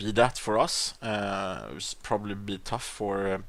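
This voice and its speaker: Recorded very cleanly against a silent background, a man with a Swedish accent talks at a fairly low pitch. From Sweden. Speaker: gaming YouTuber. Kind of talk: gameplay commentary. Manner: hesitant, many fillers.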